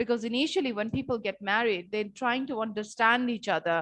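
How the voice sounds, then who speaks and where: A woman with a fairly high pitch and ordinary pitch variation speaks over a quiet background. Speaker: teacher. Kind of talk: online lecture. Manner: slow, repetitive.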